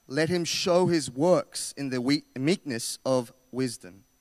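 At a very slow pace, a man speaks with lively intonation and a fairly high pitch in a very clean recording with a silent background and a dry, close sound with no echo. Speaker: scripture reader. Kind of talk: reading aloud. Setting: church. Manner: halting.

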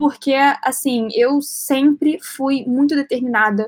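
A woman speaks in a high voice. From Rio de Janeiro, Brazil. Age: 20s. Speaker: actress and entrepreneur. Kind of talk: casual interview.

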